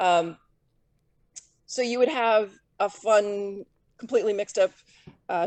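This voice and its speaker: A woman speaks at medium pitch and a fairly slow pace, with ordinary pitch variation. She leaves long, frequent pauses, and the sound is dry and close with no echo. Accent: American. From Southern California. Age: 50s. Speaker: professional disc golfer. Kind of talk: interview.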